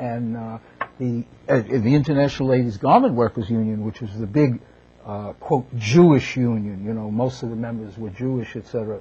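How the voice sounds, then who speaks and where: In a dark, mellow tone, a man talks at a moderate pace with a somewhat breathy voice. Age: 70s. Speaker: author. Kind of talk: casual chat. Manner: halting.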